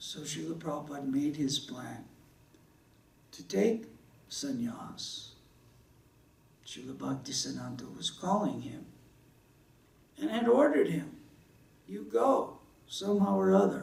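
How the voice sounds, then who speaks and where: A man with an American accent speaks at a fairly slow pace, leaving long, frequent pauses, and his loudness swings widely. Noticeable background noise and audible room echo surround his voice. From US South. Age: 60s. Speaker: religious speaker. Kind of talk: sermon.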